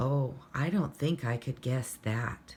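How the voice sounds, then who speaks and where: A woman puts on a character voice with a very deep, low pitch. She speaks at a fairly slow pace. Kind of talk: bedtime story. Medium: read story. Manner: gentle, warm.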